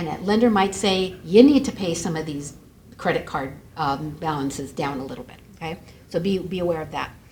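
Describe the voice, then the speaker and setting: With an American accent, a woman speaks fairly quickly at a fairly low pitch, with noticeable background noise and audible room echo. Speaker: credit bureau representative. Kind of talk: seminar presentation. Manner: fast.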